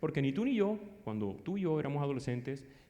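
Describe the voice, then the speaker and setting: With a dark, mellow tone, a man races along at a very fast pace, his pitch swinging very widely amid audible room echo. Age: 50s. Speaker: psychologist and conference speaker. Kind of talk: lecture.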